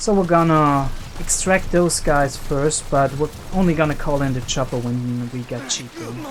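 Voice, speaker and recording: With music in the background, a man with a non-native accent talks at a moderate pace in a fairly high pitch, with ordinary pitch variation. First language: not English. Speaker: video game let's player. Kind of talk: gameplay commentary. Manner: casual, with filler hesitations.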